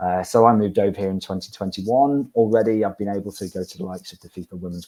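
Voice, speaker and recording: With a British accent, a man speaks very fast in a dark, mellow tone at a fairly low pitch. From UK. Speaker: university staff presenter. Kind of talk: webinar presentation. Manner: repeats words, halting.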